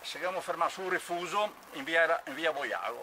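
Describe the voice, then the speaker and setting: A man raises and projects his voice over light background noise. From Veneto, Italy. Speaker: war eyewitness; witness. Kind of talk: oral history interview. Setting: outdoors. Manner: halting. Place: open country. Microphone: camera far.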